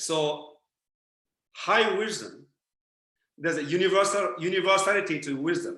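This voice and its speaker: With a Japanese accent, this bright, sharp voice moves at a moderate pace with ordinary pitch variation and long, frequent pauses, and the room echo is audible. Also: man, high pitch for a man. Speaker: spiritual teacher. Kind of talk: lecture. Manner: halting.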